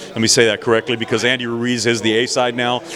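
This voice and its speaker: There is noticeable background noise as a man speaks at a fairly quick pace and medium pitch. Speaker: professional ring announcer. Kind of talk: interview answer. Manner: fluent, enthusiastic.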